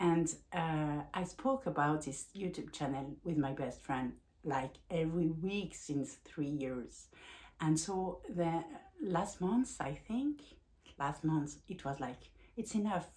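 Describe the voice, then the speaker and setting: A woman with a strong French accent, a dark, mellow tone and fairly low pitch, speaking at a very slow pace. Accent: French accent, self-described as strong. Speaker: life coach and vlogger. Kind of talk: personal vlog talk. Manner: halting, with frequent fillers and restarts.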